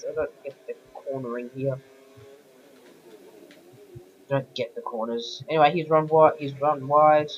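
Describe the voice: This croaky voice moves at a fairly quick pace with few pauses. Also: man.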